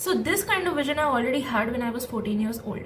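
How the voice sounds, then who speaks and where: High pitch from a woman, plus audible room echo. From India. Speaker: young entrepreneur and content creator. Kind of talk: personal vlog storytelling. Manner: casual, code-switching with Hindi.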